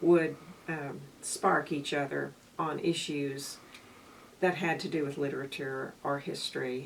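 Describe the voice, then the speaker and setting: At a fairly slow pace, a woman talks in a very deep, low pitch with fairly even intonation. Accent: American. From Waco, Texas. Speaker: university dean. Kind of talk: interview answer.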